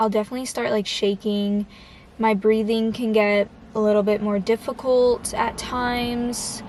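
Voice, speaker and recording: A woman speaks at a fairly high pitch in a monotone, flat delivery. Background noise is noticeable. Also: moderate pace. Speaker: vlogger. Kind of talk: casual vlog monologue. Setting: outdoors, public place. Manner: halting, filler-heavy.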